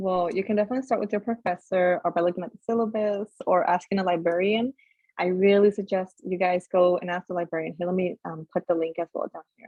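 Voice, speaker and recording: The voice moves at a very fast pace with fairly even intonation. Its loudness swings widely. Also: woman, medium pitch for a woman. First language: not English. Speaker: peer mentor. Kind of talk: online workshop presentation.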